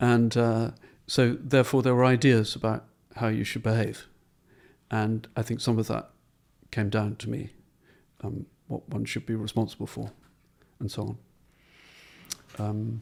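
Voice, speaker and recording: A man with a medium-pitched voice speaks in a flat monotone at a moderate pace. He leaves long pauses, and they come often. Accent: southern English. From southern England, Portsmouth. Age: 70s. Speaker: painter. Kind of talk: interview.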